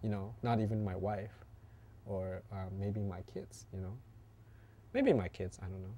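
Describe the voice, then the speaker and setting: At a moderate pace with long, frequent pauses, a man speaks in a fairly low pitch, his somewhat breathy, dark and mellow tone flat and monotone. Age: 40s. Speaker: interviewee talking about family. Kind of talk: personal interview. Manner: hesitant, many fillers.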